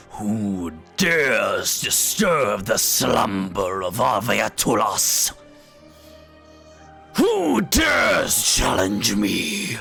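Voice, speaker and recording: Clear music plays in the background as a man talks at a very slow pace. He uses a booming, put-on character voice. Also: medium pitch for a man. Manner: imperious, challenging.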